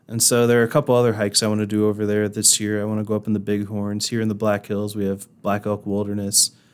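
A man with a Midwestern American accent talks at a very fast pace with hardly any pauses, in a fairly low pitch. His intonation is monotone and flat, and the recording is very clean, with a silent background. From Indiana. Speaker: TV meteorologist. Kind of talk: casual interview.

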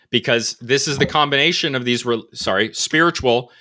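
Recorded very cleanly against total silence, this voice has a bright, sharp tone, lively intonation and an American accent. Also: man. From New England, Connecticut. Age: 20s. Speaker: podcaster, cultural anthropology commentator. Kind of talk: casual chat.

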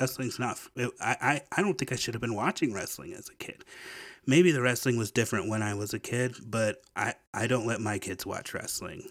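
Moderate in pace, this man's medium-pitched voice with an American accent has ordinary pitch variation and is an unremarkable speaking voice. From Memphis, Tennessee (US South). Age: 40s. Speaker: podcast host. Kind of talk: casual monologue. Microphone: new microphone.

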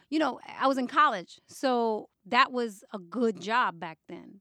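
Bright and sharp in tone, a woman speaks with a New York accent. The recording is very clean with a silent background, and the sound is dry and close with no echo. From New York City, the Bronx. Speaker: hip hop journalist and magazine editor. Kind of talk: interview conversation.

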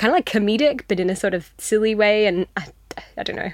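Talking at a very fast pace with an Australian accent, a woman shows ordinary pitch variation on a very clean recording with a silent background. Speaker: fiction writer. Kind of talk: interview. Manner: hesitant, lots of fillers.

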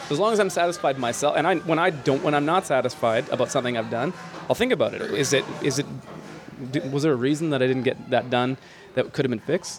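A man talks at a very fast pace with a fairly high pitch. His pitch variation is ordinary, and there is noticeable background noise. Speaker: podcast host. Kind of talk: casual chat. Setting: gym with class going on nearby.

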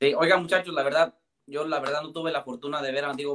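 This is a man with a Mexican accent. His pitch is fairly high. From Mexico. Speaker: podcast co-host. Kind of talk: casual chat.

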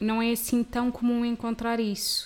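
Speaking at a fairly slow pace, a woman delivers her words. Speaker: podcast host. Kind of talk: scripted intro; casual interview chat.

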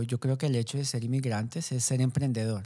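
Heard in a very clean recording with a silent background, a man's dark, mellow tone carries fairly even intonation. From Colombia, Bogotá. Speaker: coffee entrepreneur. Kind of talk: interview. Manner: halting, many fillers.

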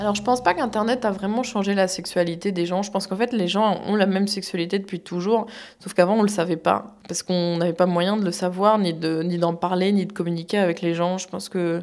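With a plain, everyday voice, a woman speaks at a fairly quick pace in a medium pitch, keeping her intonation fairly even with hardly any pauses. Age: 30s. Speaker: cam model. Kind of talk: interview.

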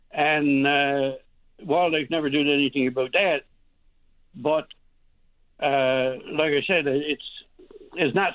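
A rural Newfoundland accent at a very slow pace, broken by long, frequent pauses. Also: man. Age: 70s. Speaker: hunter. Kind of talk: radio call-in.

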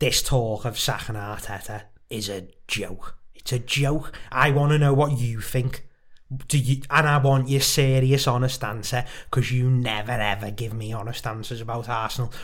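A man speaks at a moderate pace, somewhat breathy. Audible room echo surrounds his voice. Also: medium pitch for a man. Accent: Liverpool. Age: 20s. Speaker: podcast co-host. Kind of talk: casual chat. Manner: animated.

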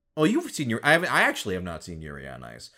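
Very fast speech with vocal fry from a man with an American accent, on a very clean recording with a silent background. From US Midwest. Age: 30s. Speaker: voice actor. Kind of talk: casual chat. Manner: animated.

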